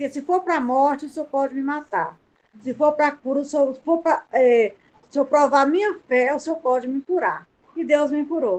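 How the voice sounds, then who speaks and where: Her pitch is high for a woman, with ordinary variation, and she speaks at a moderate pace. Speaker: student caregiver. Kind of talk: testimony.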